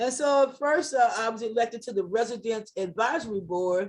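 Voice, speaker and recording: With an ordinary speaking voice, a woman talks at a fairly quick pace in a fairly high pitch. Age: 60s. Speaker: community organizer. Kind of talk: community meeting remarks.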